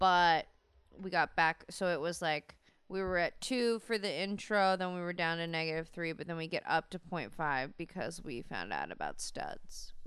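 Pitch varies in an ordinary way in an ordinary speaking voice. Delivery is moderate in pace. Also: woman, fairly low pitch for a woman. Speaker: podcast co-host. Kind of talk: casual chat.

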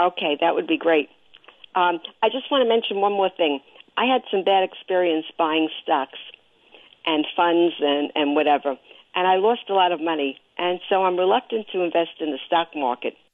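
In an American accent, a woman with an ordinary speaking voice talks at a moderate pace, her pitch fairly low and her intonation lively. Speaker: caller. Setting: phone call.

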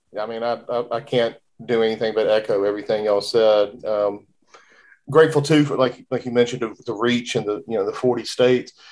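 This man has a normal speaking voice at medium pitch. His pace is fairly quick and his intonation fairly even. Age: 40s. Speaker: podcast host, banking school program director. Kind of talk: casual chat.

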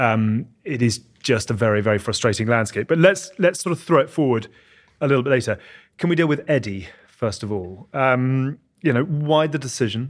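The recording is very clean with a silent background as a man of medium pitch talks at a moderate pace with lively intonation. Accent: English. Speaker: podcast host. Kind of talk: interview.

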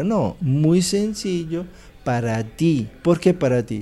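The voice has a dark, mellow tone and lively intonation, with an Italian accent. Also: man. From Italy. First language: Italian (speaking Spanish). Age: 60s. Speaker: meditation teacher. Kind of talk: interview.

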